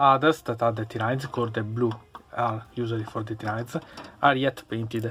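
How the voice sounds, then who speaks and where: A man speaks in an Italian accent. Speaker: hobbyist YouTuber, miniatures painter. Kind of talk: unboxing review. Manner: halting.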